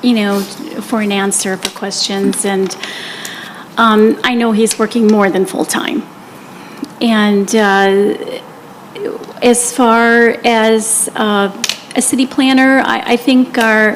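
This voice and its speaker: A woman with a fairly high pitch and fairly even intonation, very slow and full of long, frequent pauses, over noticeable background noise. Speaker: city council candidate. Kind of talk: candidate forum answers. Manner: quiet.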